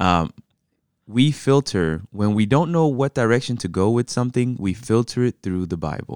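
In a dry, close sound with no echo, a man uses an ordinary speaking voice at medium pitch with lively intonation. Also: moderate pace, very clean recording, silent background. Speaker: pastor and podcast co-host. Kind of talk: casual conversational podcast chat.

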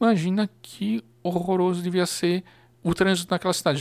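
At a moderate pace, a man speaks at a high pitch in a very clean recording with a silent background. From Blumenau, Santa Catarina, southern Brazil. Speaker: local history social media page curator. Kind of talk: casual chat.

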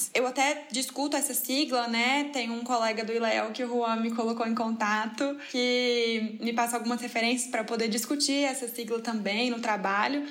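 Flat and monotone in intonation, the speech comes at a moderate pace with audible room echo and noticeable background noise. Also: woman. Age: 20s. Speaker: master's student, podcast co-host. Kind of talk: casual chat.

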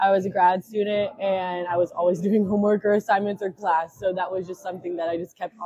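The speaker has an American accent and a fairly quick pace. The intonation is monotone and flat, with big swings in loudness. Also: woman. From West Tennessee (Jackson). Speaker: recent graduate, speech pathology. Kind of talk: casual chat.

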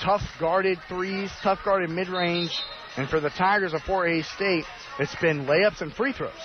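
Speech moves at a fairly slow pace with ordinary pitch variation over noticeable background noise. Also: man, high pitch for a man. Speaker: play-by-play announcer. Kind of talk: live sports commentary, play-by-play of a basketball game. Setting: arena courtside broadcast, college radio. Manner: fluent, broadcast-polished delivery.

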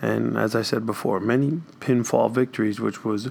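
Using an unremarkable speaking voice, a man keeps a medium pitch and a moderate pace, his pitch varying in an ordinary way. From New York. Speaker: high school strength coach and health teacher. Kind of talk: casual podcast interview.

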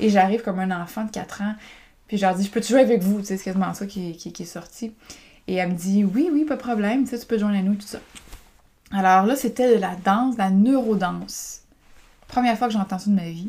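This woman speaks at a fairly quick pace in a Quebec accent, her pitch medium with ordinary variation. Long pauses come often between her words. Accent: Québécois French. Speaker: podcaster and women's group coach. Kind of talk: personal storytelling monologue. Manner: casual, hesitant with many fillers.

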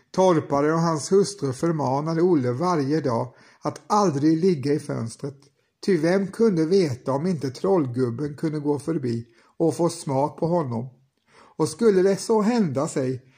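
A man with a plain, everyday voice talks fairly slowly at a fairly high pitch with lively intonation over a quiet background. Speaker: podcast host and storyteller. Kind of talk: fairy-tale audiobook narration. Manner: measured, unhurried narrator.

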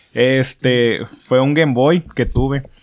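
This man has an unremarkable speaking voice, pitched fairly high. His pitch varies in an ordinary way. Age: 20s. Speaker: podcast host. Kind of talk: casual chat. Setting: friend's home.

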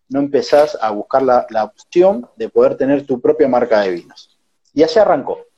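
A man speaks in a Rioplatense accent. He keeps a moderate pace. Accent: Argentine Rioplatense Spanish. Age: 20s. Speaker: entrepreneur. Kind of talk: casual interview.

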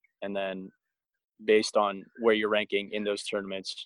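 With an American accent, a man speaks at a fairly quick pace in a fairly low, monotone voice with flat intonation, recorded dry and close with no echo. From Southern California (Agoura Hills, near Los Angeles). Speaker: field hockey player. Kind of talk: interview.

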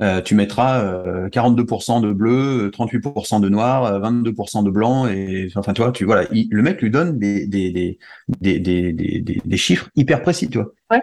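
Against a quiet background, a man with a fairly low voice speaks very slowly. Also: ordinary pitch variation. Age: 40s. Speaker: musician, conductor and wakesurf athlete. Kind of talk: interview. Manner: halting, with many repetitions.

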